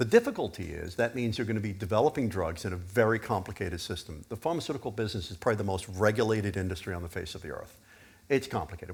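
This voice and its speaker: Somewhat breathy with a fairly low pitch, a man talks at a very fast pace. His intonation is lively. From US Northeast (Pennsylvania), born in UK. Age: 60s. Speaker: biotech executive. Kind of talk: fireside chat at conference.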